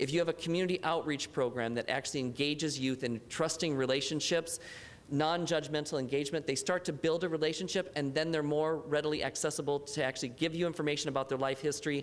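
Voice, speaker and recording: Very fast and at a very even loudness, a man speaks in a fairly high voice. His intonation stays fairly even. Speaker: youth homelessness expert. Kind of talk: panel discussion remarks.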